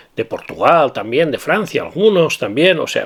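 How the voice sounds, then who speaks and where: With a Valencian accent, a man talks at a moderate pace. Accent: Spanish from Valencia (Castilian Spanish). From Valencia, Spain. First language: Valencian (speaking Spanish). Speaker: perfume YouTuber. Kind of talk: casual video monologue. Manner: halting, many repetitions and fillers.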